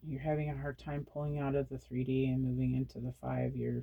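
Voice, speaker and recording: Words come fairly quickly in a quiet voice. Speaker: tarot reader. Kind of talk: tarot reading. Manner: quiet, hushed; repetitive, halting.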